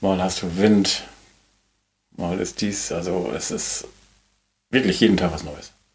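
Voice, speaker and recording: A man with a very deep, low pitch speaks at a very slow pace with long, frequent pauses and ordinary pitch variation, amid audible room echo. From northern Germany, Schleswig-Holstein coast. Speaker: hotel ship owner. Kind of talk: casual interview. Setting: on a moored hotel ship.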